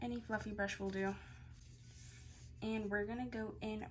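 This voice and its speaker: A woman's voice carries audible room echo, with music playing in the background. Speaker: beauty vlogger. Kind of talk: tutorial.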